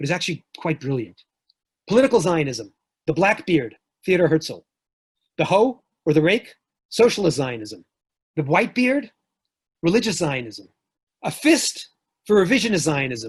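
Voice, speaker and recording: A man with a New York accent and a high pitch swings his voice very widely at a moderate pace. He leaves long, frequent pauses. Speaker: professor. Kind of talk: lecture.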